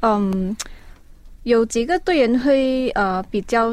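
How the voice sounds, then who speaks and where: A woman speaks at a very slow pace in a fairly high pitch with lively intonation. The recording is very clean with a silent background. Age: 20s. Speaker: esports player. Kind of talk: casual interview.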